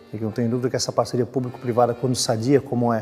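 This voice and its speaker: Music plays behind a man talking at a very fast pace, medium pitch and monotone, flat intonation. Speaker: municipal official. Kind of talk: interview answer.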